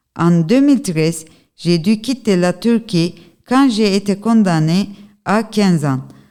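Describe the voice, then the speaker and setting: Speaking at a very slow pace, a woman with a Turkish accent uses lively intonation and a dark, mellow tone. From Turkey. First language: Turkish (speaking French). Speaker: activist and journalist. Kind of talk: testimony. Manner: halting.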